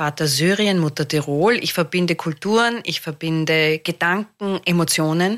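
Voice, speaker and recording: A woman talks with an Austrian accent. Her pitch varies in an ordinary way. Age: 50s. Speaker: comedian. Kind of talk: casual chat.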